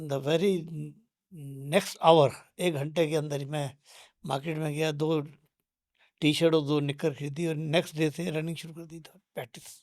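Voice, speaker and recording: A man with a fairly high voice speaks in a flat monotone, his loudness swinging widely, with long, frequent pauses on a very clean recording over total silence. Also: moderate pace. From Punjab, India (Jalandhar). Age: 70s. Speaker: fitness enthusiast. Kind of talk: interview.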